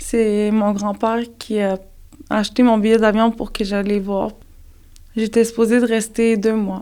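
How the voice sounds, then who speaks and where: Speaking at a fairly slow pace in a northern Canadian accent, a woman uses monotone, flat intonation with long, frequent pauses. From Nunavik and Quebec City, Quebec. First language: Inuktitut (speaking French). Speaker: special education teacher. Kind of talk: interview. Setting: on location in Nunavik village.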